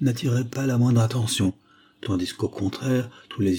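Pitch variation is ordinary. The voice is a natural reading voice.

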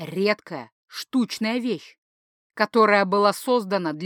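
Against a quiet background, a passage is read aloud in a natural voice, its pitch varying in an ordinary way.

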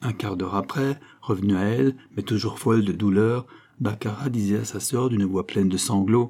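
What we hear is plain reading aloud.

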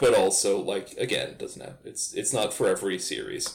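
A man speaks at a moderate pace. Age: 30s. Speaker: podcast co-host. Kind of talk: casual chat. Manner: animated.

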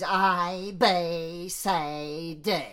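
This is a put-on character voice. It sits at a middle pitch. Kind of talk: uneducated.

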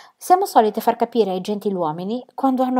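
A reading voice, unforced

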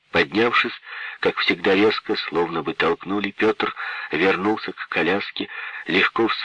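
Someone reads in an unforced voice. The intonation stays fairly level.

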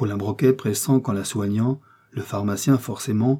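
Someone is reading aloud plainly, and the pitch moves in an ordinary way.

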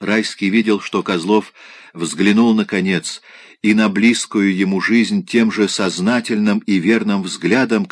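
An unforced reading voice is heard. The reading comes across without strain.

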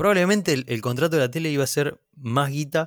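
The recording is very clean, and the background is silent. A man speaks fairly quickly, his intonation lively. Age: 30s. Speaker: comedian and content creator. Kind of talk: casual chat.

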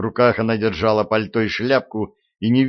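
With fairly even intonation, a person reads aloud in a natural voice. All is quiet behind it.

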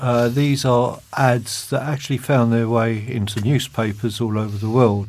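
A man speaks with a British accent at a medium pitch. His pace is moderate and his intonation fairly even. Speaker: magazine host. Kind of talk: casual chat, magazine presenting.

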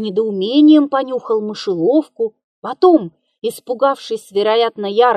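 A quiet backdrop, with lively intonation, for reading aloud in a natural voice

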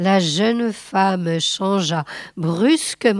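This is an unforced reading voice. Pitch variation is ordinary.

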